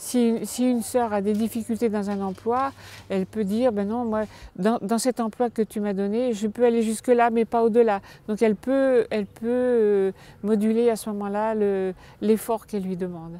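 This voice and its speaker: With a dark, mellow tone and a fairly high pitch, a woman speaks at a moderate pace with fairly even intonation and big swings in loudness. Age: 70s. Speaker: nun. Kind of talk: documentary interview. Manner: halting, repeats words.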